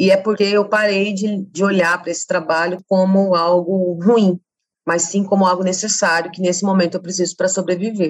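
Delivered at a fairly quick pace, the speech is monotone with flat intonation. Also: woman. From Campo Grande, Mato Grosso do Sul, Brazil. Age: 30s. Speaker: feminist activist and social researcher. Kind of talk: interview conversation.

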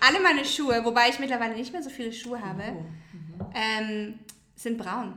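With noticeable background noise and audible room echo, a woman speaks at a moderate pace and fairly high pitch, using lively intonation and big swings in loudness. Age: 30s. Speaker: blogger and marketing worker. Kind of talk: casual chat.

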